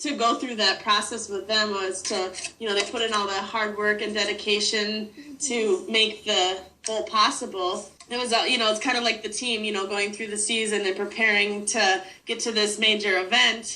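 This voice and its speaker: A woman with a northern US accent, fairly high pitch and monotone, flat intonation at a moderate pace, amid noticeable background noise and audible room echo. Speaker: sports fan. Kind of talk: interview. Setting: video call.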